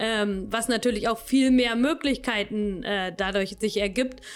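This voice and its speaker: Speaking at a moderate pace, a woman with a fairly high pitch uses fairly even intonation in a plain, everyday voice. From Lower Saxony, Königslutter area. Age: 30s. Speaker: agricultural scientist. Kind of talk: interview.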